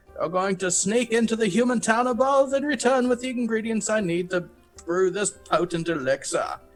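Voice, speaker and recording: A man puts on a character voice pitched high, talking at a moderate pace over faint music. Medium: actual play. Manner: brusque, impatient.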